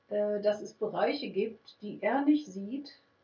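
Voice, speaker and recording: This woman talks at a very slow pace. Her voice sits fairly high, with ordinary pitch variation. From Germany (Münster, Westphalia). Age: middle-aged. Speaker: music therapist. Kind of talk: interview. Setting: clinic.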